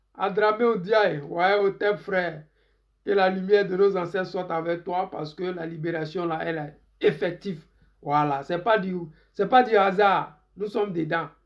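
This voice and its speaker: A man's high pitch with fairly even intonation. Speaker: political commentator. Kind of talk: live stream political commentary. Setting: Facebook live stream.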